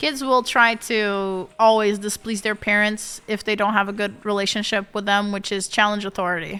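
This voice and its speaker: With music in the background, a woman with a Portuguese accent speaks at a medium pitch in a monotone, flat intonation, with hardly any pauses. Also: moderate pace. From Portugal. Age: 30s. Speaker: streamer. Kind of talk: casual chat.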